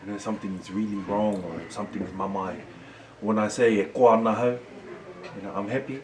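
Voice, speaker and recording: A man's fairly low voice at a fairly quick pace, with long, frequent pauses, fairly even intonation, audible room echo and noticeable background noise. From New Zealand, Māori community. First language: Māori. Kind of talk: casual chat.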